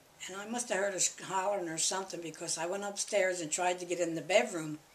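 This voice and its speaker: A woman with an American accent speaks very fast at medium pitch with fairly even intonation over noticeable background noise. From Philadelphia. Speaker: interviewee, family elder. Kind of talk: oral history interview. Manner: conversational, halting.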